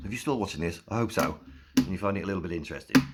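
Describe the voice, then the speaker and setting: In an English accent, a man speaks with ordinary pitch variation. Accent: English accent, noticeable. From South East England (Slough). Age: 50s. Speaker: YouTuber. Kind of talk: casual vlog monologue. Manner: informal, rambling with fillers.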